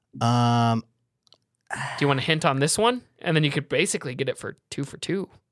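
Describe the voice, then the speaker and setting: Fairly high-pitched, a man with an unremarkable speaking voice talks at a fairly quick pace with lively intonation, in a dry, close sound with no echo. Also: very clean recording, silent background. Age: 20s. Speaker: podcast host. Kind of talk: casual chat.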